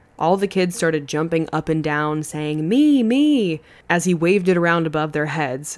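A woman with an unremarkable speaking voice talks at a moderate pace in a fairly low pitch, with lively intonation. The recording is very clean, with a silent background. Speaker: podcast host. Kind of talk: true-crime narration. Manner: steady, even storyteller pacing.

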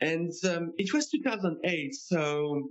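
This man speaks with a French accent. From France. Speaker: tax accountant. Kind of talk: interview.

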